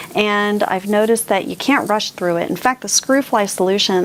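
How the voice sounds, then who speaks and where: Noticeable background noise sits behind a woman's voice. She has a medium pitch and ordinary pitch variation. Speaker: booktuber, book reviewer. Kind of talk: casual book discussion to camera. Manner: animated.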